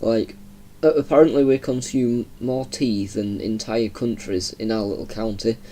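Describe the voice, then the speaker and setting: This man has a Yorkshire accent and a dark, mellow tone. He speaks at a moderate pace with medium pitch and ordinary pitch variation. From Yorkshire, northern England (Heckmondwike). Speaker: gaming YouTuber. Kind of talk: casual gameplay commentary. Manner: chatty, rambling with hesitations.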